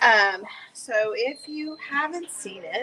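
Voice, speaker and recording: A woman speaks quietly in a bright, sharp tone. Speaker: craft painting video host. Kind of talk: live painting tutorial. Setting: art studio with gallery open. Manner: animated.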